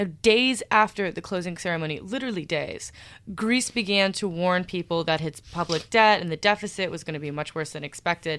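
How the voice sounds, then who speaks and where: A woman with a plain, everyday voice talks at a fairly quick pace and medium pitch with ordinary pitch variation, in a very clean recording with a silent background. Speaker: podcast co-host and editor. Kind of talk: casual interview chat. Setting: studio.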